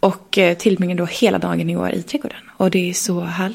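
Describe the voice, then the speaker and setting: A woman speaks over noticeable background noise. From Sweden, Leksand (Dalarna). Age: 30s. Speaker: entrepreneur and investor. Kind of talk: interview.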